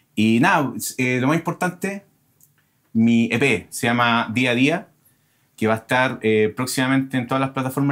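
Against a quiet background, a man talks in an ordinary speaking voice at a medium pitch with ordinary pitch variation. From Chile. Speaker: guitarist and composer; guest. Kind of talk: casual chat. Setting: studio. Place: studio.

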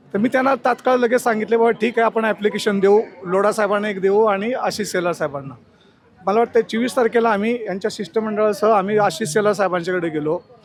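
This man has a high-pitched voice with ordinary pitch variation. Noticeable background noise runs behind him. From Mumbai, Maharashtra (Worli). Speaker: local political party official and chawl resident. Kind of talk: street interview at a protest.

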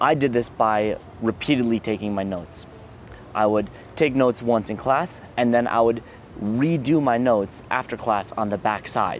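Over light background noise, a man speaks at a moderate pace with ordinary pitch variation in a dry sound with no echo. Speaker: engineering student vlogger. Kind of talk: casual advice vlog. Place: garden. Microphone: lapel.

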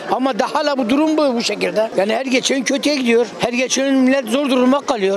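A man talks at a fairly quick pace with hardly any pauses and an extremely high pitch. The sound is dry with no echo, with light background noise. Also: ordinary pitch variation, very even loudness. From southeastern Turkey. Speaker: passerby in street interview. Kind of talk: street interview. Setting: outdoors. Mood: complaining, frustrated about economy. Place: street. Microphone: handheld.

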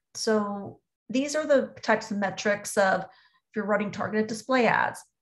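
Over a quiet background, a somewhat breathy voice speaks with ordinary pitch variation. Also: woman. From US South, Orlando, Florida; Florida. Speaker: marketing executive; presenter. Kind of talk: webinar presentation. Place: home room. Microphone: webcam.

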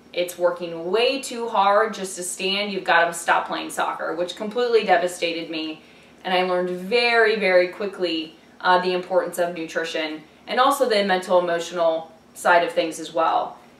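Audible room echo surrounds a woman speaking at a moderate pace with an American accent. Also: ordinary pitch variation. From Ohio. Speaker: dietitian. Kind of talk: self-introduction video. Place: home room.

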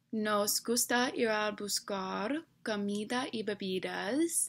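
A woman with an English accent speaks at a very slow pace, her pitch varying in an ordinary way. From Delaware, US. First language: English (speaking Spanish). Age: 20s. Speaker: university student. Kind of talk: reading aloud. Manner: halting. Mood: relaxed, slightly self-conscious. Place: home room. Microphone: webcam.

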